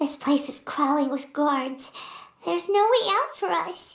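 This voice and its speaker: This is a put-on character voice at a high pitch. It moves at a moderate pace. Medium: video game. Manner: blunt, excitable.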